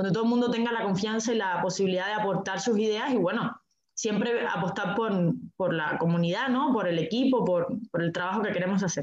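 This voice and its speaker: With an unremarkable speaking voice, a woman talks at a fairly quick pace and medium pitch, with ordinary pitch variation and very even loudness. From Cuba. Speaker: communications specialist. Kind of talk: group interview.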